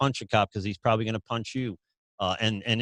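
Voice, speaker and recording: A man with a New York accent and fairly low pitch talks at a very fast pace, recorded very cleanly against a silent background with a dry, close sound and no echo. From US Northeast, New York City. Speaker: podcast host. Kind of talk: interview conversation. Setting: podcast recording.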